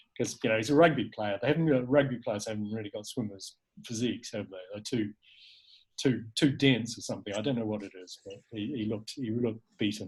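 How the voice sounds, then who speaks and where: A man with a New Zealand accent speaks at a fairly quick pace in a medium-pitched, somewhat breathy voice. His pitch varies in an ordinary way, while his loudness swings widely. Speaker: filmmaker and cold water swimmer. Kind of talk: casual interview chat. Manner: hesitant, many fillers and repeats.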